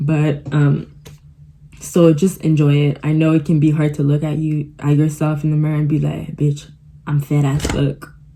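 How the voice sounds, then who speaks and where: Noticeable background noise sits behind a woman's voice. She speaks at a moderate pace with a very deep, low pitch. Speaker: vlogger. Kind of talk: casual chat. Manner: animated.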